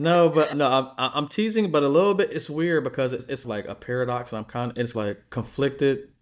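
A man with an American accent uses an unremarkable speaking voice at a fairly high pitch, with lively intonation. He keeps a fairly quick pace with hardly any pauses, on a very clean recording with a silent background. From US Midwest. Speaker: veteran and pet business co-founder. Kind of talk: casual chat.

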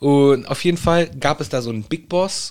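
A man talks here. The rise and fall of his pitch is ordinary. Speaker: podcast co-host. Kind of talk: casual chat. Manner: animated.

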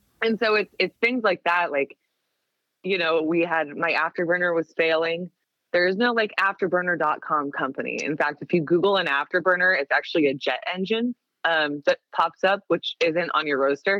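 A woman's fairly low pitch, a plain, everyday voice, moderate pace, very even loudness and ordinary pitch variation. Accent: American. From US Pacific Northwest, Seattle area. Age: 30s. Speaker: coffee roaster. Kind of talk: casual chat.

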